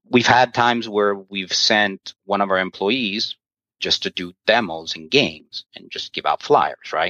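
A man with an American accent, fairly low in pitch, with ordinary pitch variation and big swings in loudness. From New York. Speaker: game store owner. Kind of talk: interview. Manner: halting.

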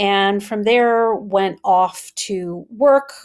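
Her accent is American. The woman's pitch varies in an ordinary way. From US Midwest, Wisconsin. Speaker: communications consultant. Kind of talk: interview.

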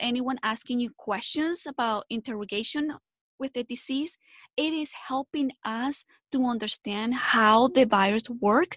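Against a quiet background, a woman with a Spanish accent speaks at a high pitch and a moderate pace, in a dry, close sound with no echo. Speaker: health educator. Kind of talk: interview.

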